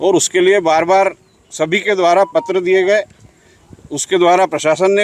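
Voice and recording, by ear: At a moderate pace, a man talks in a high voice.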